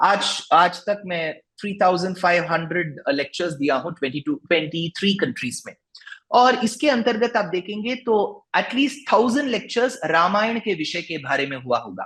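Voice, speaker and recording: A man with a Tamil accent talks in a high pitch with very wide pitch swings and hardly any pauses. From South India, Bengaluru. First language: Tamil (speaking Hindi). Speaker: religious discourse speaker and author. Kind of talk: interview. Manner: halting, many fillers.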